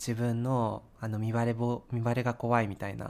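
A man speaks at a medium pitch. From Japan, Sapporo (Hokkaido). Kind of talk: casual chat.

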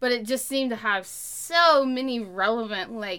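Her tone is bright and sharp as this woman with an American accent talks at a fairly slow pace with ordinary pitch variation. The recording is very clean, with a silent background. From central Oklahoma. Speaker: podcast co-host, entrepreneur. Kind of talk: casual chat.

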